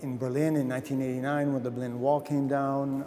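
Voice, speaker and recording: This man speaks in an American accent at a medium pitch. He goes at a fairly quick pace with monotone, flat intonation. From US Midwest (Fort Wayne, Indiana). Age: 60s. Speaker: photographer. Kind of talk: interview. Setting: museum.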